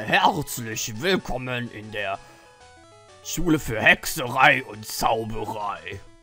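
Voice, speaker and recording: Faint music plays in the background as a man uses a put-on character voice at a very slow pace. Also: medium pitch for a man. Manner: welcoming, gruff.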